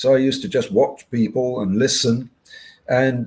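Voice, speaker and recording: A man with a British accent, somewhat breathy, at a moderate pace. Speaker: hypnotherapist and podcast host. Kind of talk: interview conversation. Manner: halting.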